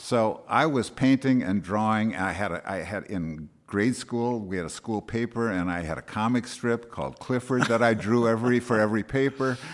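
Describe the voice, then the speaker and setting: A man's plain, everyday voice at a medium pitch and moderate pace. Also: ordinary pitch variation. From US Midwest, Wisconsin. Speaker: actor turned interior designer. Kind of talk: interview. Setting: country club.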